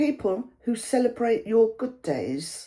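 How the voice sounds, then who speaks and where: A woman with a fairly high pitch speaks at a very slow pace in a warm, dark, mellow tone. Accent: British. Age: 70s. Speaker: YouTuber. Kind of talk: casual talk to camera. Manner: warm conversational.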